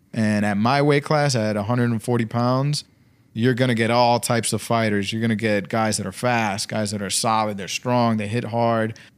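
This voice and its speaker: A man with an American accent and fairly even intonation on a very clean recording with a silent background. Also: medium pitch for a man, moderate pace. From Brooklyn, New York. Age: 30s. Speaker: professional boxer and barber. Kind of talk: casual chat.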